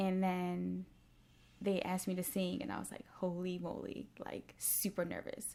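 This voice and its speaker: A woman speaks at a moderate pace. Her voice is soft-spoken. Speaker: dancer and Broadway performer. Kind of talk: casual interview.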